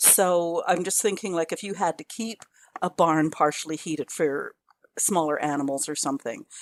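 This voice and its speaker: A woman with an unremarkable speaking voice and a fairly low pitch talks at a moderate pace with ordinary pitch variation, the sound dry and close with no echo. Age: 60s. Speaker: podcast host. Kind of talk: interview. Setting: video call.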